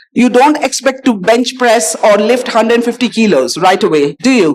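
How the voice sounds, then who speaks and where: Against noticeable background noise, a woman speaks at a fairly quick pace. Her pitch is fairly high, and her intonation is lively. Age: 60s. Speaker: doctor, panelist. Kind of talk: panel discussion.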